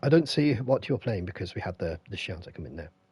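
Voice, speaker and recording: A man speaks in a dark, mellow tone with vocal fry. His pitch swings very widely. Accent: British. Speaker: gaming streamer. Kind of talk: live stream chat. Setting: live stream with headset.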